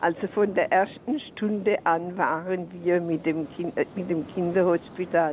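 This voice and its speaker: At a very slow pace, a woman with a fairly low voice talks in a fairly even tone over noticeable background noise. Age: 80s+. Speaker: caller. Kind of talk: phone-in call. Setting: phone call.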